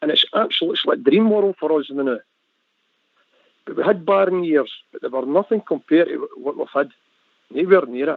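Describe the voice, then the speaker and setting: A man with a high pitch talks at a fairly quick pace, his intonation lively, with long, frequent pauses. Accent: Glasgow. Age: 60s. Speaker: football fan panelist. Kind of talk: casual chat.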